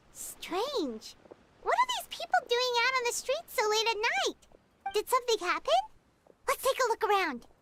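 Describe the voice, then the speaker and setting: A squeaky put-on character voice at an extremely high pitch moves along at a moderate pace. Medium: video game. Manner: cheerful, chatty.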